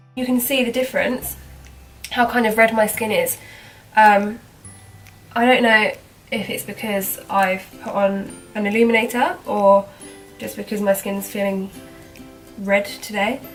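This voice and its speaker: Music plays in the background as a woman speaks at a fairly high pitch. Her pace is fairly slow, with long, frequent pauses. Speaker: makeup vlogger. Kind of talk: casual talk to camera.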